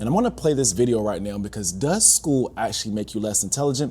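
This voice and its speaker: Speaking at a very fast pace, a man with a dark, mellow voice at medium pitch shows ordinary pitch variation. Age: 30s. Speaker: teacher and podcast host. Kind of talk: casual reaction commentary. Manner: animated.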